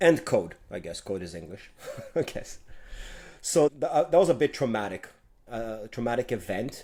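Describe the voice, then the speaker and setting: A man with a Quebec accent talks at a moderate pace and medium pitch, his tone dark and mellow. His pitch swings very widely, his loudness rises and falls a lot, and he pauses long and often. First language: French. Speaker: tech executive. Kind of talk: interview.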